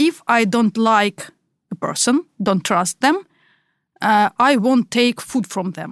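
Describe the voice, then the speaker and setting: In a Russian accent, a woman talks very slowly with a fairly high pitch and lively intonation, on a very clean recording with a silent background. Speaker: podcast co-host. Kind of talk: casual chat.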